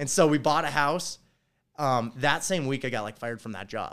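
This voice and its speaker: Fairly quick speech from a man in an Upper Midwest accent, in a very clean recording with a silent background. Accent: Upper Midwest American. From North Dakota. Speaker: construction company owner. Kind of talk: casual chat. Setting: hotel room in Las Vegas, drinking beer.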